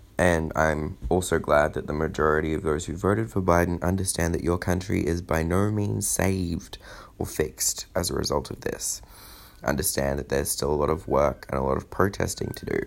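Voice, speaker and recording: Fairly quick speech with an Australian accent, vocal fry and ordinary pitch variation. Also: man, very deep, low pitch for a man. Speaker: political commentator. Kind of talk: scripted monologue.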